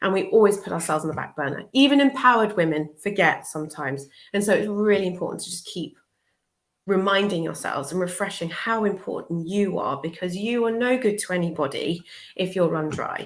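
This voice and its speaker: Speaking fairly quickly with a British accent, a woman of medium pitch uses lively intonation and big swings in loudness. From southern England. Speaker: social worker and life coach. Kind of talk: interview. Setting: live video show.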